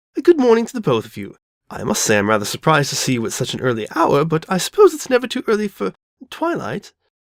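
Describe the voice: In a put-on character voice, a woman talks at a fast pace and low pitch with very wide pitch swings, the sound dry and close with no echo.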